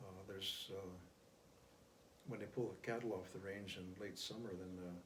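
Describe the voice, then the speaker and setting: A man with a fairly low pitch speaks somewhat breathily at a moderate pace in a flat monotone, with audible room echo. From US Great Plains, Pine Ridge Reservation, South Dakota. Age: 70s. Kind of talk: interview. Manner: halting, many fillers.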